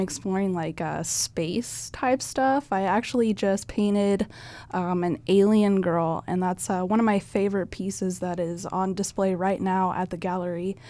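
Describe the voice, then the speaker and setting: A woman with a Midwestern US accent speaks at a fairly slow pace on a very clean recording with a silent background. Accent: US Midwest. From Nebraska, US Midwest. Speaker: painter. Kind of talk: casual interview.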